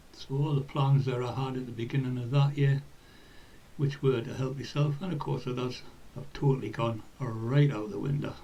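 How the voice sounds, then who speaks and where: A man speaks at a moderate pace with a medium pitch and fairly even intonation. Noticeable background noise and audible room echo sit under his voice. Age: 60s. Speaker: football club volunteer. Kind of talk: personal reflection.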